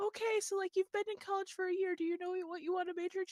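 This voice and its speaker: Using a put-on character voice, a woman squeaks out her words at a very fast pace, extremely high in pitch yet monotone and flat. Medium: actual play.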